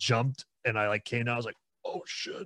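A man talks at a very fast pace with a medium pitch. The sound is dry and close, with no echo. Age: 20s. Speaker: musician in a band. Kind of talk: casual chat.

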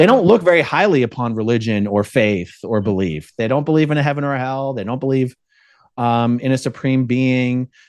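Against a quiet background, a man with an ordinary speaking voice and medium pitch talks at a fairly quick pace with lively intonation. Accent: American. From South Jersey / Philadelphia area. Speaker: ex-Scientology activist and YouTuber. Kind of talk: podcast interview.

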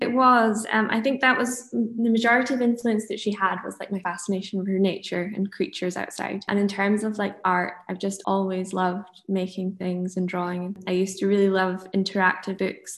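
Using a Dundee accent, a woman with a medium-pitched, somewhat breathy voice speaks at a moderate pace with fairly even intonation and hardly any pauses. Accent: Scottish (Dundee). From Scotland, Monifieth near Dundee. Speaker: illustrator. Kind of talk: casual interview.

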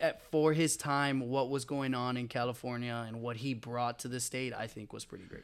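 A man with an American accent has a normal speaking voice at medium pitch, speaking at a moderate pace with fairly even intonation. His loudness swings widely, and the recording is very clean with a silent background. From Texas. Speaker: student and sports fan. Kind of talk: casual chat.

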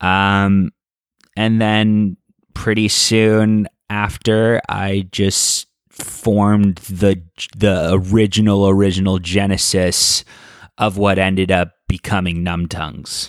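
A man's fairly low-pitched, monotone, flat delivery at a very slow pace, on a very clean recording with a silent background. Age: 20s. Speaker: rock singer. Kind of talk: casual chat.

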